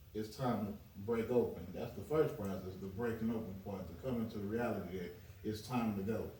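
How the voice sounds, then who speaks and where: A man speaks at a fairly low pitch with ordinary pitch variation, over noticeable background noise and audible room echo. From US South. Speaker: chef. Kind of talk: podcast interview.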